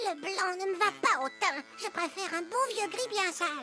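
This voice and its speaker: A cartoonish character voice moves at a moderate pace over clear background noise. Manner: cheeky, playful.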